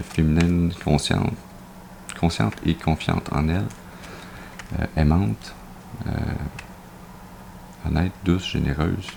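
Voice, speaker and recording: Against noticeable background noise, a man with a very deep, low voice talks at a fairly slow pace with ordinary pitch variation and long, frequent pauses. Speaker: tarot card reader. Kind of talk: tarot reading presentation.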